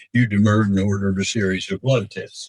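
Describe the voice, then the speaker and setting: A man talks at a fairly quick pace in a somewhat breathy voice. The sound is dry and close with no echo. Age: 80s+. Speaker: court respondent. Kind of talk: reading a letter aloud in court.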